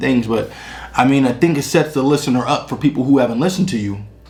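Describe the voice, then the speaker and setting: Over noticeable background noise, the fairly quick speech shows ordinary pitch variation. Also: man. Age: 30s. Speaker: music reviewer. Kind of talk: casual album review. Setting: on camera at home, drinking beer. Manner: halting, many fillers and repetitions.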